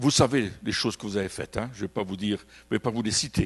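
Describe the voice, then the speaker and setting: A man with a Belgian accent at a fairly quick pace over a quiet background. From Belgium. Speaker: pastor. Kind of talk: sermon. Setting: church. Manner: animated.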